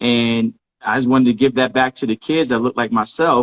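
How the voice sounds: A man speaks at a medium pitch, recorded with a dry, close sound and no echo. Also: fairly even intonation, moderate pace.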